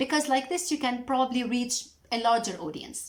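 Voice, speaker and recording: A woman speaks in a Lebanese accent at a fairly quick pace. Her pitch is high, and there is noticeable background noise. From Lebanon. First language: Arabic. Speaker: mental health educator, YouTuber. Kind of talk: educational talk to camera. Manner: halting.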